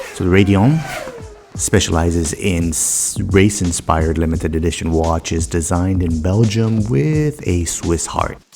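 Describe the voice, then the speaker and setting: Music plays behind a man with a very deep, low voice and an American accent. He moves at a moderate pace with ordinary pitch variation. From United States. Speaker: watch and car vlogger. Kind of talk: casual vlog narration.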